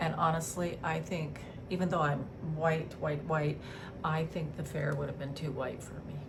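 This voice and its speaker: In a room with audible echo and noticeable background noise, a woman speaks with a very deep, low pitch in a monotone, flat intonation at a moderate pace. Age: 60s. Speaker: beauty vlogger. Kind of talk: casual chat.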